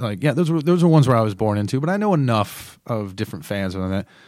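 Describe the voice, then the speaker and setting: With an American accent, a man talks at a fairly quick pace in a medium pitch. He has a normal speaking voice and lively intonation. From North Carolina. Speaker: sports fan guest. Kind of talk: casual chat. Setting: studio.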